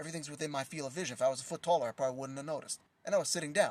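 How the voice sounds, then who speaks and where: The speaker is a man. His recording is very clean, and the background is silent. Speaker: prophetic teacher. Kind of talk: livestream teaching. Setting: live stream. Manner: soft-spoken; casual, conversational.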